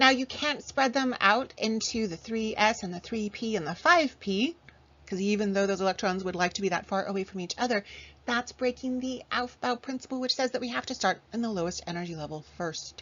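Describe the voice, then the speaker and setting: A woman talks at a fairly quick pace with a fairly high pitch. Her tone is animated, her intonation lively. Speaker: chemistry teacher. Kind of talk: lecture.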